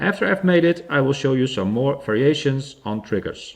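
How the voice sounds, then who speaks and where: A man with a Dutch accent talks at a moderate pace, his pitch swinging very widely. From Netherlands. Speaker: DIY electronics hobbyist. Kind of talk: tutorial.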